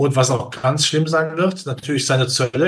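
A fairly high-pitched, somewhat breathy man at a fairly quick pace, with fairly even intonation. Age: 60s. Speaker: capital markets analyst. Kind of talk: interview.

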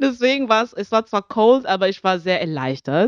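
Moderate pace from a woman, the sound dry and close with no echo over a quiet background. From Zambia. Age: 20s. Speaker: singer. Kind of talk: casual chat.

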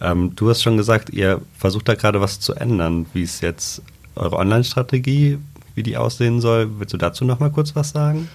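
Speaking at a moderate pace, a man uses a somewhat breathy, medium-pitched voice. His intonation is lively. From Trier. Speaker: podcast host, journalist. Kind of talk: casual interview.

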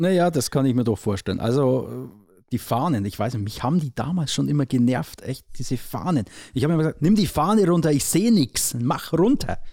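Fast-moving and lively in intonation, a man with a dark, mellow tone and fairly high pitch talks at a fairly quick pace on a very clean recording with a silent background. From Upper Palatinate, Bavaria (Neusorg). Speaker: sports journalist, podcast host. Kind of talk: casual chat.

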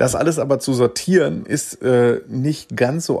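A man's ordinary speaking voice at medium pitch, with ordinary pitch variation. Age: 40s. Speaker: sports reporter. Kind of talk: casual chat.

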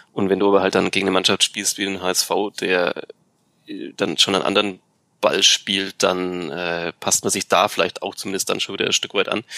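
A man talks at a fairly quick pace with flat, monotone intonation. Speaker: football podcast co-host. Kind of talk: casual chat.

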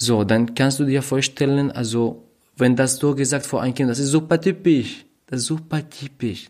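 This man speaks with a non-native accent. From Syria. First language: not German (speaking German). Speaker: refugee, podcast guest. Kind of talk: casual chat. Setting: at host's flat. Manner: halting, searching for words.

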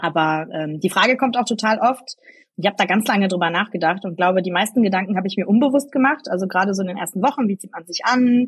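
This woman's medium-pitched voice is somewhat breathy and has ordinary pitch variation. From Germany, Eschweiler near Aachen (Rhineland). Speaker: politician. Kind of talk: interview.

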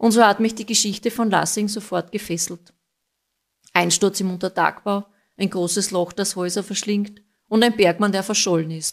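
A woman with a medium-pitched voice speaks at a moderate pace in an ordinary speaking voice, her intonation fairly even, on a very clean recording with a silent background. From Austria, Styrian mining town. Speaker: listener contributor. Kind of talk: recorded narration of a case.

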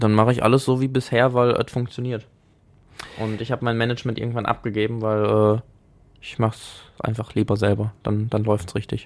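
A man's voice sits at a medium pitch with flat, monotone intonation. He speaks fairly fast. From Germany, Essen (Ruhr area). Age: 20s. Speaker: androgynous model and stylist. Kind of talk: casual chat. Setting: studio.

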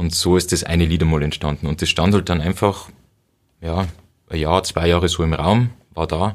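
A man's very deep, low voice at a moderate pace, fairly even in intonation, with long, frequent pauses, on a very clean recording with a silent background. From Bavaria, Upper Palatinate (Cham district). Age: 30s. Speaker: punk rock guitarist. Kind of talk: casual interview.

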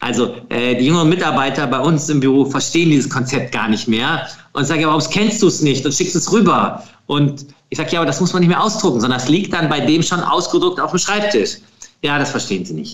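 This man's voice sits fairly high, with lively intonation and a fairly quick pace. Audible room echo surrounds it. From Lower Rhine / Krefeld, western Germany. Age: 40s. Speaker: film producer. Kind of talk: interview.

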